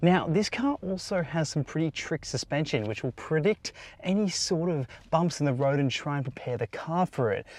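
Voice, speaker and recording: On a very clean recording with a silent background, a man with an Australian accent speaks at a moderate pace with lively intonation. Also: fairly high pitch for a man, dry, close sound with no echo. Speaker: car reviewer. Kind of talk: product review. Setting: in a car.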